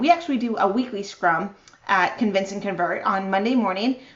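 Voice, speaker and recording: A woman speaks at a moderate pace in an enthusiastic tone, with ordinary pitch variation. Noticeable background noise runs behind her. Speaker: marketing strategist and conference speaker. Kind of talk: virtual conference talk.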